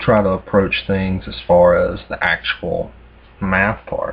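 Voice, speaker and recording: Here is a man talking. He has a Southern US accent. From US South. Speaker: math tutor. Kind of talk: casual explanatory talk. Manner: hesitant, many fillers.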